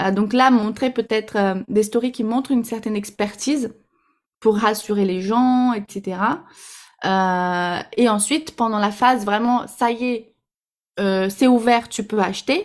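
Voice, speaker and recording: A woman with a slight Brazilian accent, fairly high-pitched and fairly even in intonation, very slow with long, frequent pauses, on a very clean recording with a silent background. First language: Portuguese (speaking French). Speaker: Instagram marketing coach. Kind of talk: podcast interview. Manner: hesitant, many fillers.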